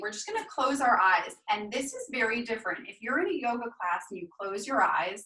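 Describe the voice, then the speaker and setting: A woman's high, bright, sharp voice at a moderate pace, with very wide pitch swings. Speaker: yoga instructor. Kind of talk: guided yoga class. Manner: soft-spoken.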